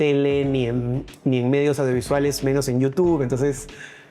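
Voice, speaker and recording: With music in the background, a man talks at a medium pitch and a moderate pace. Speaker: TV presenter and content creator. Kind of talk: interview conversation.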